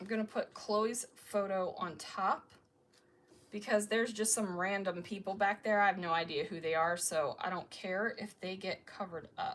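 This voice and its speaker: In an American accent, a woman speaks at a moderate pace with medium pitch and fairly even intonation. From Maryland, US. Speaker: scrapbooking YouTuber. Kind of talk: live-stream crafting tutorial chat. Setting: live stream. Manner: chatty, thinking aloud.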